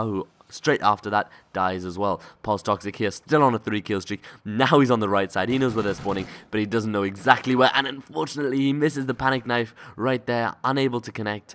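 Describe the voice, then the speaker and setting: A man with an ordinary speaking voice talks at a fairly quick pace, medium in pitch with ordinary pitch variation. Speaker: amateur esports shoutcaster. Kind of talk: live game commentary.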